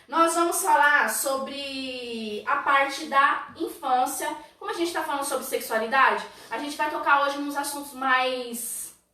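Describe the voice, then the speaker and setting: A woman with a high pitch speaks in a raised, projected voice at a fairly slow pace, her intonation lively. Audible room echo and noticeable background noise come through. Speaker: church youth leader. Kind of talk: church teaching livestream. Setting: online livestream. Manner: animated.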